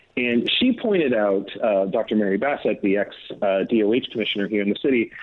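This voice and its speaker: A man with a normal speaking voice and an American accent, medium in pitch, fairly quick in pace, and lively in intonation. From Northern California. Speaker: political journalist. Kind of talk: interview.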